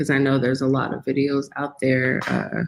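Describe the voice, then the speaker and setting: A woman is speaking. She has an American accent. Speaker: wellness content creator. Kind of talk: livestream talk to viewers. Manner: slow, low-energy.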